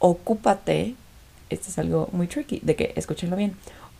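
With a dark, mellow tone, a woman speaks in a fairly low pitch at a fairly slow pace. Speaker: podcast host. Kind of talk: casual monologue.

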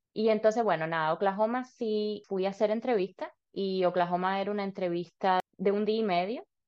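A woman with a slight Cuban accent talks fairly quickly, with hardly any pauses. Her voice sits at a medium pitch with fairly even intonation. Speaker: dentist and dental student. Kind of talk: interview.

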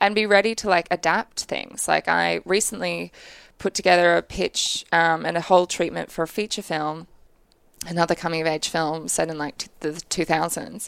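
In a dry, close recording with a silent background, a woman with a fairly low pitch and vocal fry talks at a moderate pace with ordinary pitch variation. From Australia, Brisbane. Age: 20s. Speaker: film director. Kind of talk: interview. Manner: casual, filler-heavy.

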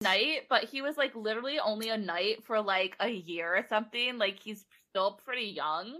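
With lively intonation, a woman speaks in a fairly high voice that has a bright, sharp tone. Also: moderate pace. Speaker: podcast host. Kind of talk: casual chat.

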